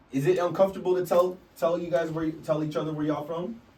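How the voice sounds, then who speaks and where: The speaker's tone is animated, with noticeable background noise behind the voice. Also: man. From Canada, Vancouver. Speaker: hip hop teacher, rapper. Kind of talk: workshop class talk.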